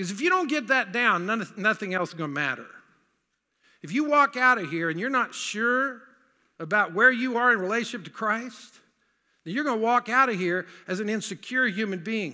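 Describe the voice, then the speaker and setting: With an American accent, a man projects a raised voice at a high pitch, his bright, sharp tone carrying lively intonation. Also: fairly quick pace. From US South. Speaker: pastor. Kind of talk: sermon. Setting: church.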